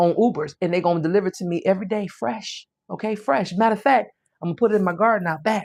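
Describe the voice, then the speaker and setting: The voice is animated and goes at a very fast pace. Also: woman, medium pitch for a woman, ordinary pitch variation. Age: 50s. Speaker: parenting show host. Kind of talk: live-stream monologue. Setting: live stream. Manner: repetitive, emphatic.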